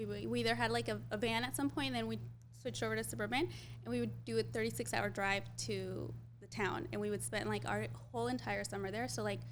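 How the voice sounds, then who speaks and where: Someone with a Spanish accent talks at a very fast pace, with audible room echo. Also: woman. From Jalisco, Mexico; raised in the US from age 5. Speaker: beauty brand founder. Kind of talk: casual interview.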